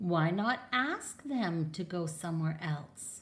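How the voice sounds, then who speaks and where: A woman's put-on character voice, fairly low in pitch and fairly slow in pace. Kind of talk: bedtime story. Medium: read story. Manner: calm, upbeat.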